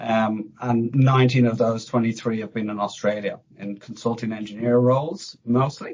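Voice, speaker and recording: A man with an Irish accent talks at a medium pitch and a fairly slow pace, his intonation fairly even. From Ireland, Dublin. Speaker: fire protection engineer. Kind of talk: podcast interview. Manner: hesitant, many fillers.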